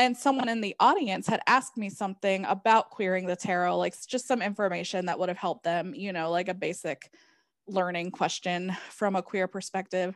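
This woman has an ordinary speaking voice, medium in pitch with ordinary pitch variation, at a fairly quick pace. The recording is very clean with a silent background and a dry, close sound with no echo. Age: 30s. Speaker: tarot reader and author. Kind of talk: interview conversation.

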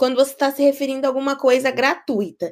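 Here a woman speaks with a high pitch. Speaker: podcast co-host. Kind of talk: casual chat. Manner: animated.

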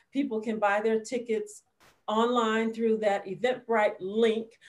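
This woman has an American accent and a fairly high pitch. She speaks at a moderate pace. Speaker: radio film critic and producer. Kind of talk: interview, casual chat. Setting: video call.

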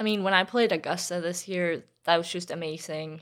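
On a very clean recording with a silent background, a woman with a Swedish accent talks at a moderate pace, her pitch fairly low and her intonation fairly even. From Sweden. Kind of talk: interview.

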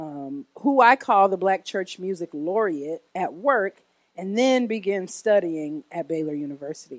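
A woman with an American accent and an ordinary speaking voice, medium pitch and lively intonation at a moderate pace, in a dry, close sound with no echo. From US Midwest, Oak Park near Chicago. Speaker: church worship director and singer. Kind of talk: testimony. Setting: church.

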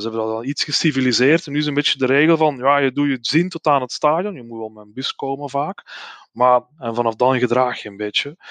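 A man with a Flemish accent, very fast delivery, medium pitch, ordinary pitch variation, big swings in loudness, and a dry, close sound with no echo. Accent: Flemish Dutch. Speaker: football fan, groundhopper. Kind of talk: casual chat.

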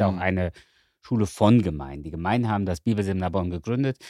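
In a very clean recording with a silent background and a dry, close sound without echo, a man speaks with a dark, mellow tone and lively intonation. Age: 50s. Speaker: rector of a Bible seminary. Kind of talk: casual chat.

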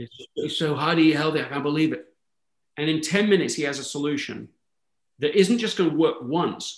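Speaking at a fairly quick pace with an English accent, a man with a fairly high pitch shows ordinary pitch variation and big swings in loudness. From England, London. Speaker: author and speaker. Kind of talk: interview conversation.

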